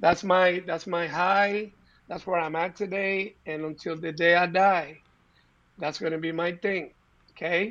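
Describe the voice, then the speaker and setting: Speaking fairly slowly with a Spanish accent, a man keeps his high-pitched voice monotone and flat. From Puerto Rico, of Cuban descent. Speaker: entrepreneur. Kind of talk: interview.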